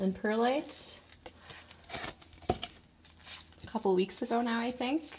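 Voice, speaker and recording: Noticeable background noise sits behind the speaker. She is a woman whose pitch varies in an ordinary way. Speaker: plant collector YouTuber. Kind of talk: casual video tour. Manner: casual, chatty.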